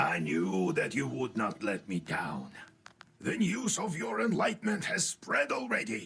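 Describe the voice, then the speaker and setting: A man puts on a character voice at a medium pitch. It comes out raspy. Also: moderate pace. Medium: video game. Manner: fussy, mentoring.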